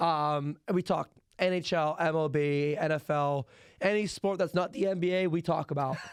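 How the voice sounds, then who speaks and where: On a very clean recording with a silent background, a man with a Pittsburgh accent talks at a moderate pace in a fairly high pitch, with very even loudness and fairly even intonation. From Pittsburgh area, western Pennsylvania. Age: 20s. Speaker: college student podcaster. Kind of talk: casual chat.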